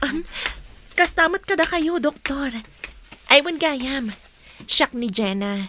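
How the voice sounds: A woman's put-on character voice, high-pitched with a bright, sharp tone, lively intonation and a slow pace.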